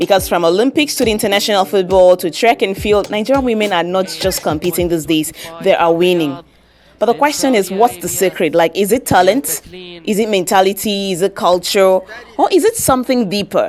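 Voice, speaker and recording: In an ordinary speaking voice, a woman talks at a fairly quick pace, her medium pitch showing ordinary pitch variation. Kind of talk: commentary talk to camera.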